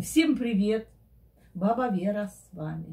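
A woman speaks at a very slow pace in a dark, mellow tone. Her intonation is lively. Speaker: reaction vlogger. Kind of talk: casual vlog chat. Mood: playful, mock upset. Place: home room. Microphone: camera far.

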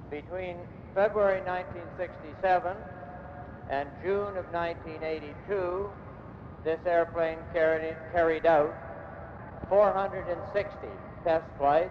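Amid noticeable background noise, a man speaks at a fairly slow pace in a high pitch, his intonation monotone and flat, with long, frequent pauses. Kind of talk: ceremonial speech. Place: hall. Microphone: podium.

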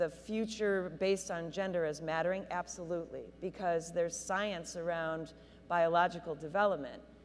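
In an ordinary speaking voice, a woman talks at a fairly slow pace with a fairly low pitch and fairly even intonation over light background noise. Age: 50s. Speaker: high school sports official. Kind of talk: panel discussion. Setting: stage with audience. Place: hall. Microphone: handheld.

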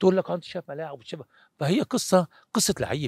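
A high-pitched man's voice with very wide pitch swings at a moderate pace, dry with no echo, over a quiet background. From Egypt. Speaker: former football goalkeeper; interviewee. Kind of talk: interview. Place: open country. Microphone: handheld.

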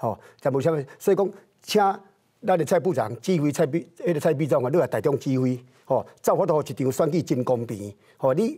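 Against a quiet background, a man with a fairly high pitch and a dark, mellow, somewhat breathy tone talks at a fairly quick pace with lively intonation. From Taiwan. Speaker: political commentator. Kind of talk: political talk show debate. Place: studio.

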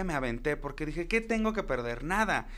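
The speaker is a man. His pace is moderate. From Acapulco, Guerrero, Mexico. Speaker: drag queen. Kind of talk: casual chat.

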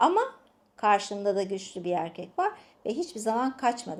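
With an animated tone and lively intonation, a woman with a fairly high voice speaks at a moderate pace. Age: 50s. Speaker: relationship coach and channel host. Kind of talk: casual chat with advice tips.

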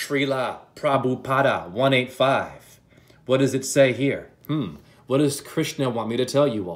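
A man talks at a very slow pace. Vocal fry runs through his voice. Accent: American. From Boston area, Massachusetts. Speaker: spiritual video creator. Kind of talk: spiritual monologue. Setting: screen-share video presentation. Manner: animated. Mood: fervent, chanting at times. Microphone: phone near.

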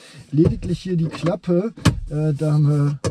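A man speaks at a fairly slow pace in a dry sound with no echo, with noticeable background noise. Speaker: car reviewer. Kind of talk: review commentary. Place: car.

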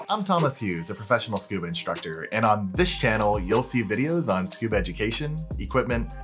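Clear music plays in the background behind a man. He talks at a very fast pace in a fairly low voice. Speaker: scuba instructor. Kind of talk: tutorial. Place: home room.

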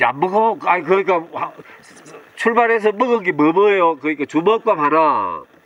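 A man speaks at a moderate pace in a high pitch. There is noticeable background noise. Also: lively intonation. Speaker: interviewer. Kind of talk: casual interview questions.

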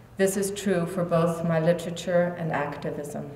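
A woman speaks at a moderate pace in a fairly low pitch, her intonation monotone and flat, with audible room echo. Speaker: speaker. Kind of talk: formal speech. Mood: earnest, reflective. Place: hall. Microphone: podium.

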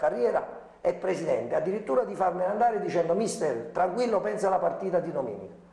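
This man's pitch swings very widely at a moderate pace, with audible room echo in the recording. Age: young. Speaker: football coach. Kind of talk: TV sports talk show discussion. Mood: animated, aggrieved. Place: studio. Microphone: lapel.

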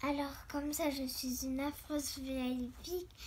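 In a put-on character voice, a female-sounding speaker pitched high for a woman talks at a moderate pace over clear background noise. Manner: cackling.

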